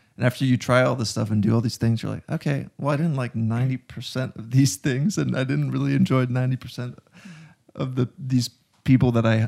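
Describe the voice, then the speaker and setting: This man has a normal speaking voice at medium pitch, talking at a moderate pace with ordinary pitch variation in a dry, close sound with no echo. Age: 20s. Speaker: filmmaker. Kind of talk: casual chat.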